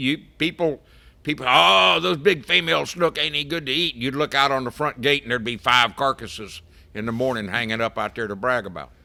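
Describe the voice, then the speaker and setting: A man with an American accent and medium pitch speaks at a fairly quick pace with lively intonation and a bright, sharp tone. The recording is very clean with a silent background. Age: 70s. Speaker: fishing boat captain. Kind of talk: casual chat.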